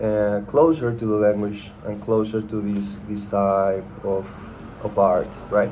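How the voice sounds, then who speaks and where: Speaking in a Spanish accent, a man uses a fairly low pitch and a monotone, flat intonation at a very slow pace, with audible room echo. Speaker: content creator. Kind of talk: casual chat. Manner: halting, many fillers and repetitions.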